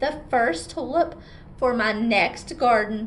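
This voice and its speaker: A woman uses a put-on character voice at a fairly high pitch and fairly slow pace, with clear background noise. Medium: read story. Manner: eager, earnest.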